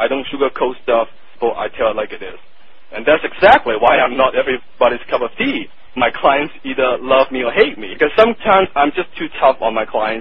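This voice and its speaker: A man with a strong Hong Kong accent talks at a fairly quick pace over noticeable background noise. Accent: thick Hong Kong Chinese. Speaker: marketing copywriter. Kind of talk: interview. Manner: blunt, direct.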